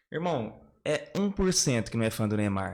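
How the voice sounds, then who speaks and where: A man is speaking here. He keeps a moderate pace. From Nova Granada, São Paulo state, Brazil. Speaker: debate guest, football fan. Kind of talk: casual debate. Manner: animated.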